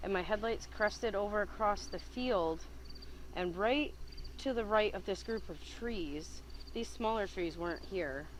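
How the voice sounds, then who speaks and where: A woman speaks at a fairly slow pace. Room echo is audible around her. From upstate New York, Whitehall. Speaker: eyewitness. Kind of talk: interview.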